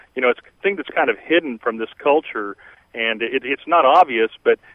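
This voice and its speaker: Medium male pitch in a normal speaking voice, ordinary pitch variation, moderate pace. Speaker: caller. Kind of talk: call-in talk radio. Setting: phone call.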